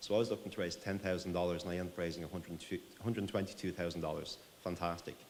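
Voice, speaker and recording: In an Irish accent, a man talks very fast with a very deep, low pitch. Room echo is audible around him. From Ireland. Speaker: tech company CEO. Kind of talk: conference presentation.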